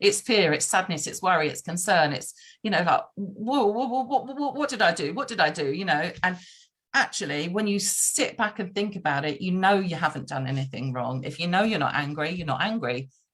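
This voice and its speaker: A woman talks loudly at a fairly quick pace. Her medium pitch swings very widely. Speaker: podcast guest. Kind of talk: casual conversation. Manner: fast.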